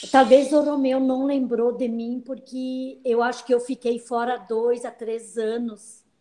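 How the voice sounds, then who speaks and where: The voice has a dark, mellow tone and monotone, flat intonation. It moves at a very slow pace with hardly any pauses. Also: woman, high pitch for a woman. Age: 60s. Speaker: senior program participant. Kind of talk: panel talk in online live event. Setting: online live video event.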